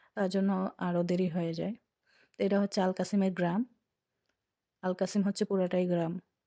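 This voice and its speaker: A woman speaks at a medium pitch in a dark, mellow tone, her intonation monotone and flat, her loudness very even. The recording is very clean, with a silent background and a dry, close sound with no echo. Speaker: vlogger. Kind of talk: travel vlog narration. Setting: in a car.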